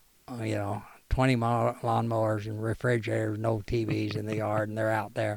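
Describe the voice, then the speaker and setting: With an American accent, a man talks at a fairly quick pace in a fairly low pitch, his intonation monotone and flat. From US Midwest (rural Missouri, Ozarks area). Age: 70s. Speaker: cyclist and war veteran. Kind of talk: casual chat. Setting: at home.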